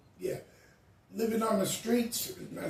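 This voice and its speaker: A man with an American accent talks at a fairly slow pace. Noticeable background noise and audible room echo fill the recording. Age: 60s. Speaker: homeless man. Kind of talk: interview.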